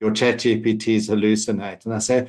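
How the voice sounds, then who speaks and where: Against a quiet background, a man speaks at a fairly quick pace. His fairly low pitch stays monotone and flat. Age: 60s. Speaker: AI consultant, panel expert. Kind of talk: panel discussion.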